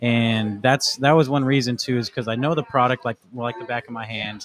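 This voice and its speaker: This man has an ordinary speaking voice with an American accent, medium pitch and fairly even intonation. The sound is dry and close, with no echo. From Arizona, Casa Grande. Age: 20s. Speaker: cannabis brand sales rep. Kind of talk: podcast interview. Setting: in-person in a lounge.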